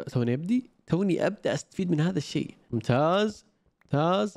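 Man speaking at a moderate pace with lively intonation against a quiet background. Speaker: gaming YouTuber. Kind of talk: gameplay commentary. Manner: low energy. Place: home room.

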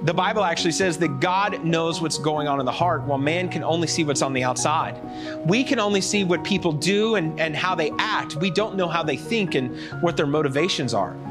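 Clear music plays in the background. A man talks over it at a fairly quick pace. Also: ordinary pitch variation. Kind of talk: sermon-style lesson for children. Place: stage. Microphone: lapel.

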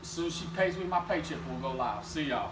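Over noticeable background noise, a man projects a raised voice with ordinary pitch variation. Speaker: motorcycle salesman. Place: shop. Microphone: camera far.

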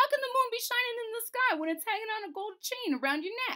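A put-on character voice, squeaky and extremely high in pitch, rattles along at a very fast pace. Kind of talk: read-aloud storytelling. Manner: mournful. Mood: puzzled, expressive character voice.

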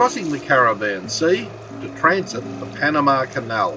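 A man talks at a moderate pace. Noticeable background noise runs underneath. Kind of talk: travel narration.

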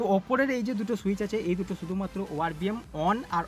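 With clear music in the background, a man speaks at a high pitch, the sound dry with no echo. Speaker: car channel host. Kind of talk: tutorial. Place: car. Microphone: phone near.

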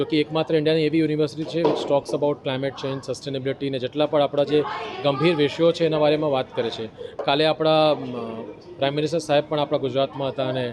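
Crowd noise fills the background. Over it, a man speaks at a fairly high pitch with monotone, flat intonation. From Kolkata, India (family from Bhuj, Gujarat). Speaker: climate fellowship participant. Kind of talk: interview.

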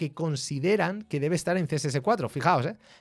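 Lively intonation and an animated tone in a Spanish accent, over a quiet background. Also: man. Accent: Peninsular Spanish. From Spain. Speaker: tech streamer. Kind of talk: live stream tech explainer. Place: home room. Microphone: studio mic.

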